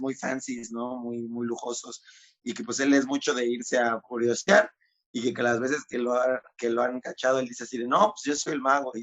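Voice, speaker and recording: A man is talking. His pitch is medium. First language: Spanish. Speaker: magician interviewer. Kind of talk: interview.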